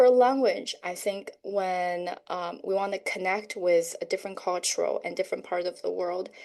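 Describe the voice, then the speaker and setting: A woman with a Chinese accent at a moderate pace, against a quiet background. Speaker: educator and homeschool parent. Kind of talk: podcast interview.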